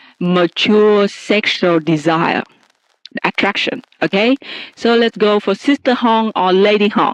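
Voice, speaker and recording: In a dry, close sound with no echo, a woman talks at a very slow pace in a medium pitch, with ordinary pitch variation and very even loudness. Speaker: podcast host. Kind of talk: casual chat. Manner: slow, careful pace; stumbling, halting at times.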